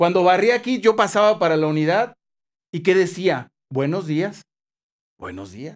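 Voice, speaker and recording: Lively intonation from a man at a moderate pace, against a quiet background. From Mexico, Jalisco (Tepatitlán); Jalisco, Mexico. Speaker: TV news reporter. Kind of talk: interview. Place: studio. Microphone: studio mic.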